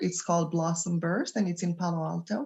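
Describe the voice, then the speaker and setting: A woman speaks with an Israeli accent in a fairly low pitch. The background is quiet. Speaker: doula and childbirth educator. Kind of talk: podcast interview. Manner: halting.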